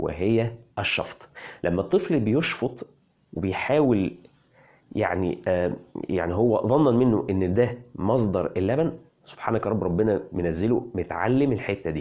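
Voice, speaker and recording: A man in an Egyptian accent, fairly low-pitched with a dark, mellow tone, at a fairly slow pace over a quiet background. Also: lively intonation. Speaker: parenting health blogger. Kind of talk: health explainer video. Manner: animated.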